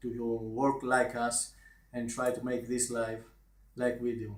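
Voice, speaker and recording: A man speaks at medium pitch with a non-native accent and a fairly slow pace. Audible room echo surrounds the voice. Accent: foreign accent, self-described as awful. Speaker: online marketer. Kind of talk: video review. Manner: halting.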